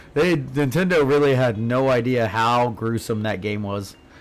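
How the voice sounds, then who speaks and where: A man talks fairly slowly, with ordinary pitch variation, as music plays in the background. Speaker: video game streamer. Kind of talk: casual livestream chat while gaming. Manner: low force, subdued.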